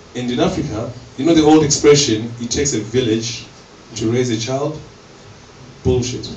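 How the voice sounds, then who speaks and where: At a moderate pace, a man with a medium pitch speaks with long, frequent pauses, with audible room echo and noticeable background noise. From Zimbabwe. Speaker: comedian. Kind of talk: stand-up. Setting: stage with audience. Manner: animated.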